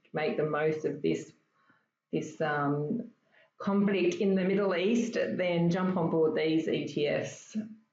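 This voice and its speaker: A woman with an Australian accent talks at a fairly slow pace. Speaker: stock trading educator. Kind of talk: casual chat.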